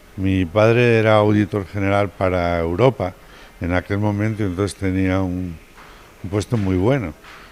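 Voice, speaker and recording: Noticeable background noise sits behind a man with a very deep, low pitch. He speaks at a moderate pace with fairly even intonation. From Madrid, Spain. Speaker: pediatric pulmonologist and professor. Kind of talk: TV interview.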